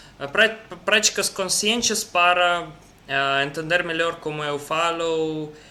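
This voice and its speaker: A man talks with a non-native accent. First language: Russian (speaking Portuguese). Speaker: language learner. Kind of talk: casual chat. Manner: halting.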